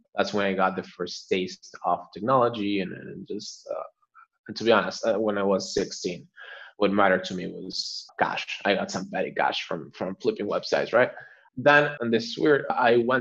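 Lively intonation marks a man speaking with a Spanish accent. His pitch is medium and his pace moderate. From Argentina. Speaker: newsletter writer and startup growth lead. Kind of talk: interview. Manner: frequent fillers and repetitions.

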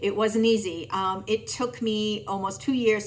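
Using an ordinary speaking voice, a woman with an American accent talks at a moderate pace with ordinary pitch variation. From Massachusetts. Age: 50s. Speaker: amateur marathon runner. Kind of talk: testimonial.

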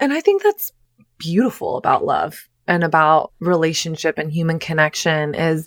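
A normal speaking voice from a woman, fairly low in pitch, with ordinary pitch variation, a moderate pace, and a dry, close sound with no echo. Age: 30s. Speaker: relationship coach and author. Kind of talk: casual chat.

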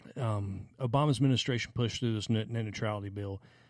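Speaking at a fairly quick pace with a Southern US accent, a man at medium pitch shows ordinary pitch variation on a very clean recording with a silent background. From South Carolina (Anderson). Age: 40s. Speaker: podcast co-host. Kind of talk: casual chat.

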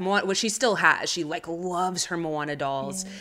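Using a normal speaking voice, a woman talks at a moderate pace in a fairly low pitch, with an American accent. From United States (Chicana, Mexican-American). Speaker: writer and actress. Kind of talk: casual chat.

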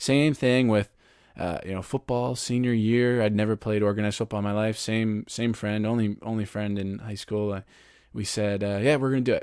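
Fairly low in pitch and fairly even in intonation, a man speaks at a moderate pace in an ordinary speaking voice. The recording is very clean, with a silent background. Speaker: podcast host and author. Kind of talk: interview conversation.

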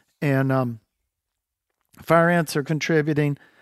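In a Southern US accent, a man speaks at a fairly high pitch with monotone, flat intonation and a dry, close sound with no echo. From North Carolina. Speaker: land manager and hunter. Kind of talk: casual chat.

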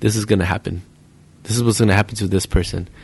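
Against a quiet background, a man with an ordinary speaking voice talks at a fairly low pitch with fairly even intonation. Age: 30s. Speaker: pool player. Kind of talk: casual chat.

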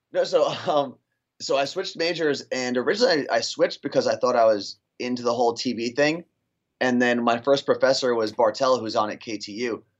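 A man with an ordinary speaking voice at a medium pitch, ordinary pitch variation and a fairly quick pace. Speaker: radio morning show host. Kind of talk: casual chat.

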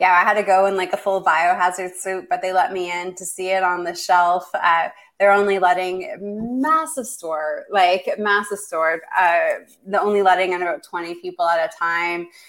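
A plain, everyday voice with a Canadian accent speaks at a moderate pace with hardly any pauses. The pitch varies in an ordinary way while the loudness swings widely. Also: woman, medium pitch for a woman. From Canada. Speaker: clinical researcher and fasting educator. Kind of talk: interview.

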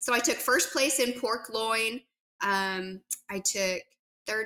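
The tone is bright and sharp, with ordinary pitch variation. The pace is very slow. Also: woman. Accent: western US. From US West, southern Utah. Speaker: barbecue pitmaster. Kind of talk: interview.

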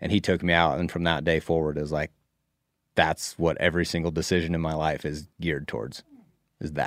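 Flat, monotone delivery with vocal fry and an American accent at a fairly quick pace, on a very clean recording with a silent background. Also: man, very deep, low pitch for a man. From US Northwest (Idaho). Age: 30s. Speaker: professional bass angler. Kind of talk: casual chat.

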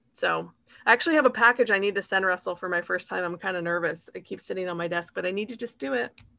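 A woman with an American accent speaks at a very fast pace, her medium pitch carrying lively intonation and vocal fry. Her tone is bright and sharp, and the recording is very clean with a silent background. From Utah. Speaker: gamification consultant. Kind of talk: interview.

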